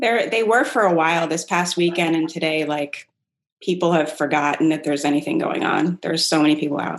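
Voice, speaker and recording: This woman has a normal speaking voice with a fairly low pitch and an American accent. She talks at a fairly quick pace with ordinary pitch variation. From Rockville, Maryland. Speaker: comedian. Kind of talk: casual chat.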